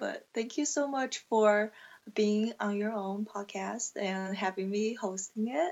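A woman's fairly high voice with a Chinese accent, at a very slow pace with ordinary pitch variation. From China. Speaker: aspiring podcaster. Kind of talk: interview.

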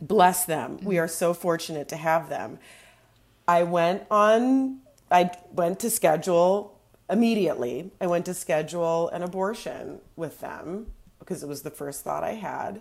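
With a plain, everyday voice, a woman speaks at a moderate pace, her pitch fairly low with ordinary variation and her loudness swinging widely. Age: 40s. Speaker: returning guest, comedian and mother of two. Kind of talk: casual chat. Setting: studio.

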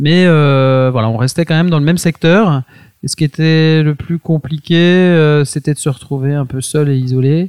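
A man's fairly high voice, fairly slow, with fairly even intonation. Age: 40s. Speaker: entrepreneur. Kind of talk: interview. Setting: at the guest's home. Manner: halting.

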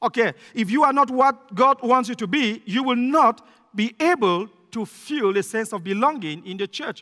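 In a raised, projected voice with a bright, sharp tone, a man speaks at extremely high pitch with lively intonation, the sound dry and close with no echo. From Cameroon. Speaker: visiting pastor. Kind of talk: sermon. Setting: church. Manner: fast talker.

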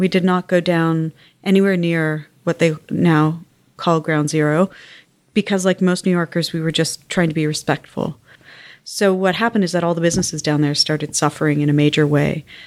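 A woman with a Canadian accent and a normal speaking voice talks at a fairly quick pace in a fairly low pitch with fairly even intonation. The recording is very clean, with a silent background. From Canada, West Island of Montreal. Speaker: arts organization executive. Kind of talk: interview. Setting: office.

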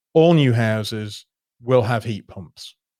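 A man with a Yorkshire accent at a medium pitch, in a dry, close sound with no echo and a very clean recording with a silent background. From northern England, Yorkshire (near Doncaster). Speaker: pension fund portfolio manager. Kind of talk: interview.

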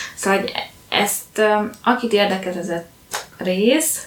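Over noticeable background noise, a woman talks with fairly even intonation at a medium pitch. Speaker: book podcast co-host. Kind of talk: casual chat.

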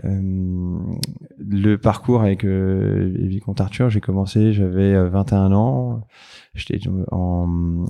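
A dark, mellow tone against a quiet background. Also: man. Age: 30s. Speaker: entrepreneur. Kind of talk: casual interview chat. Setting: in his office.

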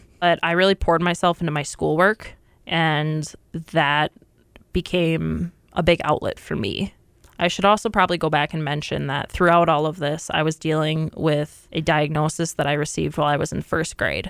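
A woman with an American accent, very deep, low pitch, vocal fry and fairly even intonation, at a moderate pace, in a dry, close sound with no echo. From Minnesota, US Midwest. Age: 20s. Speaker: corrections officer. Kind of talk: interview testimony.

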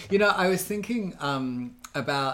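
The speaker is a man. He has an Australian accent. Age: 30s. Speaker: podcast co-host. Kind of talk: casual chat.

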